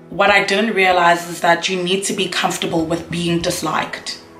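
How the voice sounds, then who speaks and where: The speech moves at a fairly quick pace in a flat monotone, with audible room echo and faint music in the background. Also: woman. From South Africa. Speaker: YouTuber, university student. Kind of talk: casual talk to camera. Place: home room. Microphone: camera far.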